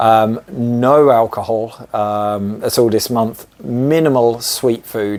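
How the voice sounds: Fairly low for a man, his voice has a slightly mellow tone and ordinary pitch variation.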